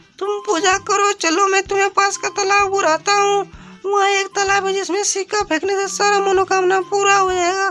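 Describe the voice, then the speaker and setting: A cartoonish character voice runs on with hardly any pauses. Clear music plays in the background. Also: moderate pace. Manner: harsh, bullying.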